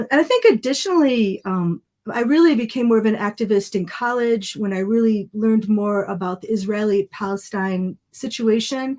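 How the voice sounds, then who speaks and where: A woman with a plain, everyday voice talks at a moderate pace, with hardly any pauses. Her pitch is fairly high, with ordinary pitch variation. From US, multicultural Lebanese-American family. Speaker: photographer and documentary filmmaker. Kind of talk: podcast interview.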